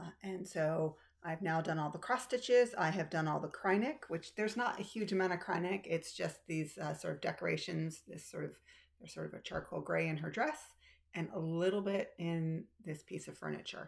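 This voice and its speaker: A woman talks in a fairly low pitch with vocal fry. Her pace is moderate, and her pitch variation ordinary. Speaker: cross stitch video creator. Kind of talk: casual chat. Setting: home room. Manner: filler-heavy, casual.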